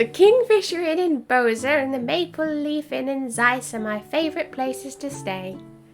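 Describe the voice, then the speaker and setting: A put-on character voice at a moderate pace, with clear music in the background. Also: woman, high pitch for a woman. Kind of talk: comic old-woman impression. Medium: game stream.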